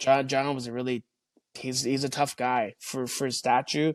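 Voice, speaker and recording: A man speaks fairly slowly at a medium pitch in a monotone, flat way. The sound is dry and close with no echo, over a quiet background. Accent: Canadian. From Canada. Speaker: retired hockey player. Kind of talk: interview. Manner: halting, many repetitions.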